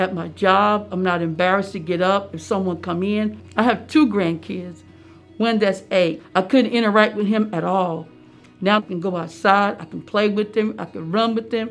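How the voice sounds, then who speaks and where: Over faint music in the background, a woman speaks at a moderate pace with ordinary pitch variation. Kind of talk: interview answer. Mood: happy, grateful. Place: office.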